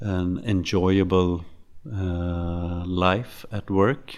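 Recorded very cleanly against a silent background, a man with a Swedish accent talks in a very deep, low pitch and a monotone, flat intonation. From Sweden, Stockholm. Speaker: serial entrepreneur. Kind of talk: interview. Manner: halting.

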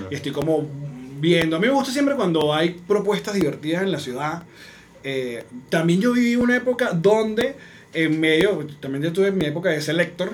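Audible room echo around a man with a Venezuelan accent, high-pitched, lively in intonation and at a fairly quick pace. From Venezuela, Maracay. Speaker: comedian and podcaster. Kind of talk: casual chat.

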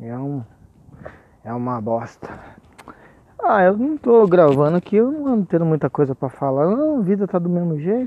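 A high-pitched man speaks at a moderate pace with very wide pitch swings and long, frequent pauses. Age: 40s. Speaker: podcaster and rapper. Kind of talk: casual monologue. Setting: outdoors, walking on the street at night. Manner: laughing often.

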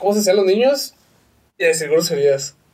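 This man speaks at a high pitch with ordinary pitch variation. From northern Mexico, Chihuahua. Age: 30s. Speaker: graphic designer and podcaster. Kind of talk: casual chat. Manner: slight stammer.

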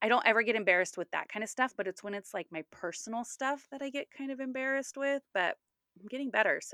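A woman speaks in an American accent with a bright, sharp tone. The sound is dry and close with no echo. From California, Sacramento. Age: 30s. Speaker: podcast co-host. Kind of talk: casual chat.

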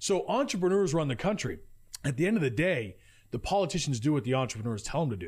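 Speaking very fast, a man with an American accent uses a fairly high pitch. His pitch swings very widely, and vocal fry runs through his voice. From Utah. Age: 20s. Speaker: entrepreneur. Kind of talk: casual chat. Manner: loud.

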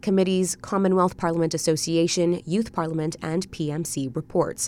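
A woman speaks in an unremarkable speaking voice with fairly even intonation. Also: very clean recording, silent background. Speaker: radio newsreader. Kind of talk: scripted evening news bulletin read in a brisk, even, formal broadcast cadence. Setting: studio. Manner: formal; measured and steady.

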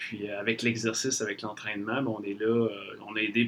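A man speaks in a bright, sharp tone. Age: 30s. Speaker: fitness trainer and gym owner. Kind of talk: podcast interview.

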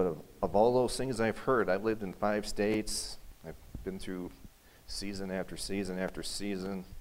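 A man speaks in a normal speaking voice at a fairly low pitch. His pace is moderate and his intonation fairly even. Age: 50s. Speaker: pastor. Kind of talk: sermon. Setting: church.

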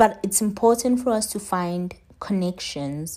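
A woman speaks in a dark, mellow tone with ordinary pitch variation. The recording is very clean, with a silent background. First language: not English. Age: 20s. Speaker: podcast host. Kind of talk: solo monologue on wellness. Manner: casual, conversational.

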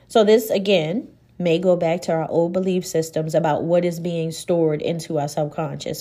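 At a moderate pace, a woman talks in a plain, everyday voice at a fairly low pitch, with ordinary pitch variation. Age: 40s. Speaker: podcast host, life coach and nurse. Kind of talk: solo podcast talk.

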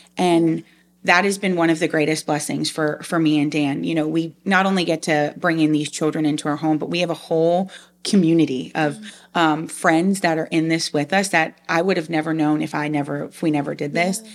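A woman with an American accent speaks at a fairly quick pace in a very deep, low pitch. Her intonation is monotone and flat, and the recording is very clean with a silent background. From Long Island, New York. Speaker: foster parent and IT business analyst. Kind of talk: interview testimony.

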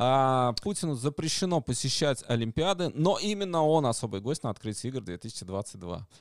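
A man's medium-pitched voice moves through very wide pitch swings. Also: dry, close sound with no echo, very clean recording, silent background. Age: 40s. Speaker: stream co-host. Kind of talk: casual chat.

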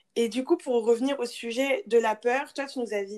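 With a plain, everyday voice, a woman speaks at a fairly quick pace in a fairly high pitch with fairly even intonation. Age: 20s. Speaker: podcast host, business school student. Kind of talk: interview.

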